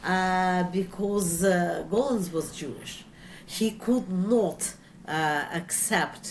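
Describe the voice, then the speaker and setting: A woman talks at a very slow pace in a Russian accent. Room echo is audible. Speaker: author. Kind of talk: interview. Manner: halting, frequent fillers.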